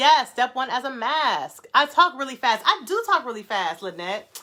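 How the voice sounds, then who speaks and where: A woman with an American accent speaks fairly slowly in a high, bright, sharp voice. Her tone is animated and excited, and her pitch swings very widely. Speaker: natural hair brand founder and livestream host. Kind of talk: casual live chat with viewers. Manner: animated, excited.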